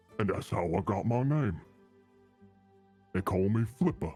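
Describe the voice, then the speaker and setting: A man puts on a character voice at a fairly low pitch, with faint music in the background. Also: moderate pace. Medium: actual play. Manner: friendly, folksy.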